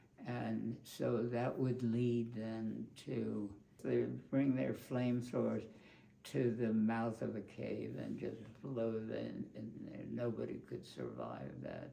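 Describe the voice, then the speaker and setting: Noticeable background noise fills the recording. Through it, a man talks at a very slow pace. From Brooklyn, New York. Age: 80s+. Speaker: war veteran; behavioral scientist. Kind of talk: interview answer.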